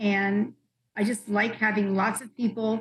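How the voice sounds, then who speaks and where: A woman speaks at a fairly slow pace. Hers is a normal speaking voice. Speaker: pattern maker and fashion professor. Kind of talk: interview answer.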